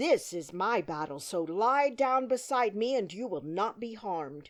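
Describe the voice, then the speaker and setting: A woman puts on a growling character voice at medium pitch with very wide pitch swings. She keeps a moderate pace. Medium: read story.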